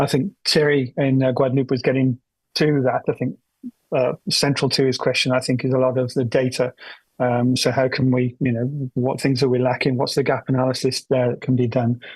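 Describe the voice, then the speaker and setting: A man speaks at a fairly quick pace and medium pitch, sounding somewhat breathy in a monotone, flat intonation. His loudness is very even, and the sound is dry and close with no echo. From United Kingdom. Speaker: forum participant. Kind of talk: open-mic comment at conference. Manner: hesitant, many fillers.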